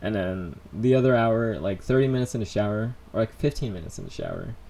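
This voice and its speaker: Speaking at a moderate pace, a man has an unremarkable speaking voice, a medium pitch and lively intonation. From United States (born in Colombia, moved at three). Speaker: vlogger. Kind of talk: live stream Q&A. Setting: in his room. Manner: casual, rambling with fillers.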